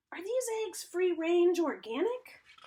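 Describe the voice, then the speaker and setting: Speaking at a fairly slow pace, a woman uses a squeaky put-on character voice at an extremely high pitch. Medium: read story. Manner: grumpy, stern.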